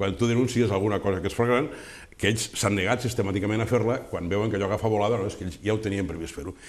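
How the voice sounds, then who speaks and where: With a fairly low pitch and ordinary pitch variation, a man talks at a very fast pace. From Tortosa, Catalonia. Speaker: local politician. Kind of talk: press statement. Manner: halting. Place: studio. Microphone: lapel.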